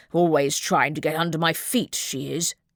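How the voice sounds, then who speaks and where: A woman does a put-on character voice, growling at a very deep, low pitch. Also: moderate pace. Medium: read story. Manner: imperious, demanding respect.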